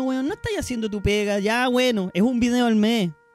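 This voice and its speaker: Noticeable background noise sits behind a fairly quick delivery with ordinary pitch variation. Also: man. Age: 30s. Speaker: streamer and podcast host. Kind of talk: casual chat.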